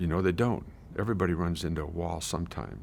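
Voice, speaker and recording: Talking at a fairly quick pace, a man with a very deep, low voice and vocal fry is heard on a very clean recording with a silent background. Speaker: retired teacher telling life story. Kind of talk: life story interview. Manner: halting.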